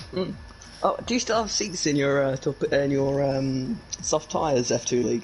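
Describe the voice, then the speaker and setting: A man's fairly high voice with lively intonation and very even loudness, at a moderate pace over noticeable background noise. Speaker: esports commentator. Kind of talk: casual chat. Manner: hesitant, many fillers.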